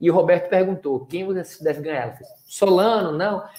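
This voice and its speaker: With a Pernambuco accent, a man with a high pitch talks at a moderate pace. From Pernambuco, Brazil. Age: young. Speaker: speaker, writer and former reality show contestant. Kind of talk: interview. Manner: casual, relaxed.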